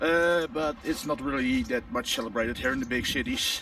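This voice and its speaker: A high-pitched man with a Dutch accent, very wide pitch swings, and noticeable background noise. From Netherlands. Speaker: daily vlogger. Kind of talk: casual vlog monologue.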